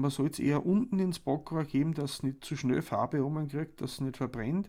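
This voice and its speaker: In an Austrian accent, a man talks at a moderate pace with a fairly high pitch and a dark, mellow tone. His pitch varies in ordinary ways, and the recording is very clean with a silent background. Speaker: cooking podcast host. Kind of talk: casual chat and recipe explanation.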